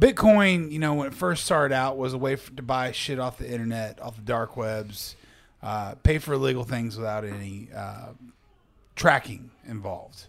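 A man's plain, everyday voice at medium pitch, moderate pace, lively intonation and big swings in loudness. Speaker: podcast host. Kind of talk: casual chat. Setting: studio.

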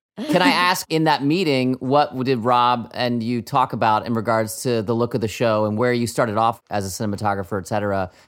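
With noticeable background noise, a man speaks at a medium pitch with ordinary pitch variation. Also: fairly quick pace, hardly any pauses. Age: middle-aged. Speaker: podcast co-host and TV writer. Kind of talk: casual chat.

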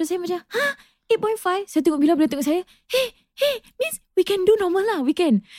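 Her pitch is extremely high, and it jumps across a very wide range as this woman talks at a fairly quick pace. She leaves long pauses often, and the sound is dry and close with no echo. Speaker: podcast host. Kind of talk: casual chat. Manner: code-switching Malay and English, animated.

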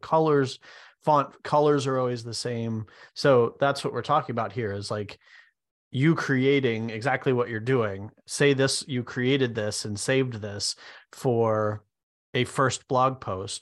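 In an unremarkable speaking voice, a man talks at a fairly slow pace and a medium pitch. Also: quiet background. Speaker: software developer and co-host. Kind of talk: casual business discussion.

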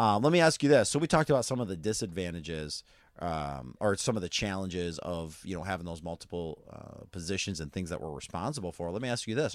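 His pitch rises and falls across a very wide range. The man talks fairly quickly. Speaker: podcast host and youth pastor. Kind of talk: casual ministry interview. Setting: trailer at a youth camp. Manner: frequent fillers (uh).

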